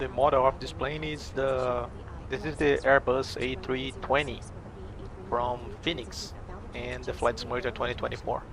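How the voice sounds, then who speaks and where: A man speaks with a Portuguese accent at a moderate pace. Long, frequent pauses break his speech amid noticeable background noise. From Brazil. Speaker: flight sim streamer and airline pilot. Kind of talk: live stream chat.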